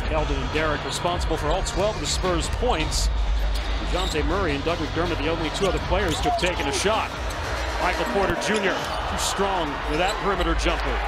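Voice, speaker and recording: Fairly quick speech in a dry sound with no echo, over loud background noise. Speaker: play-by-play announcer. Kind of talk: live commentary. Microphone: headset.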